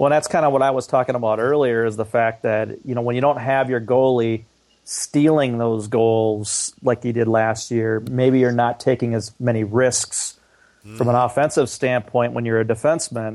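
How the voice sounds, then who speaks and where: A man has a normal speaking voice at a medium pitch. He speaks at a moderate pace with fairly even intonation. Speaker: co-host sports podcaster. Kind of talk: casual sports podcast chat.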